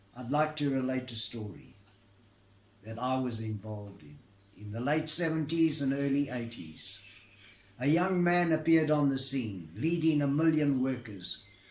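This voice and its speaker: A man's medium-pitched voice with lively intonation, big swings in loudness, a moderate pace and audible room echo. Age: 80s+. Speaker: retired labour negotiator. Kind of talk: recorded address to camera. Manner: formal.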